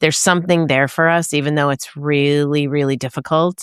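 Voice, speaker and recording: A woman with a very deep, low pitch and fairly even intonation is heard in a very clean recording with a silent background and a dry, close sound with no echo. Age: 60s. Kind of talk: interview conversation.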